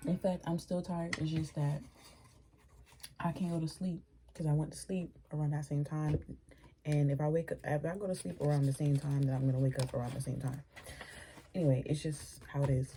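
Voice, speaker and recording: With noticeable background noise behind her, a woman talks at a fairly quick pace with long, frequent pauses, a very deep, low pitch and fairly even intonation. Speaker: tarot reader. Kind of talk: casual tarot reading monologue. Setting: at home, early morning. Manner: speaking low. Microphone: too quiet.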